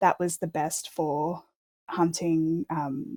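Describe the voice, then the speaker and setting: A woman with an Australian accent speaks in a dark, mellow tone at a fairly low pitch with ordinary pitch variation, captured with a dry, close sound and no echo. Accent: normal Australian. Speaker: archaeologist, dog history researcher. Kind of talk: interview, expert explanation. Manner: hesitant, many fillers.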